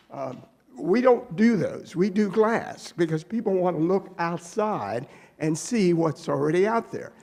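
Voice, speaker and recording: A man speaks at a fairly slow pace in a high voice. Noticeable noise sits in the background. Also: ordinary pitch variation. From Maryland, US (Annapolis). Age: 70s. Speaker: business owner presenting to town council. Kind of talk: public meeting presentation. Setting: town council meeting. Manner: halting, repeats words.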